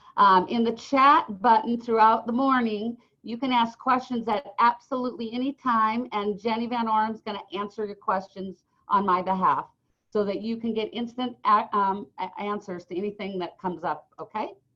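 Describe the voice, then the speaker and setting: Pitch variation is ordinary. The speech moves at a moderate pace. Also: woman, fairly high pitch for a woman. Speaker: real estate office manager. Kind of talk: online team meeting. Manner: loud.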